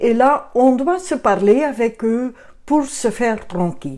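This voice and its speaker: A woman speaks very slowly in a high pitch. Her tone is dark and mellow. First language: Dutch (Flemish) (speaking French). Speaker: children's book author and photographer. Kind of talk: book presentation. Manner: halting.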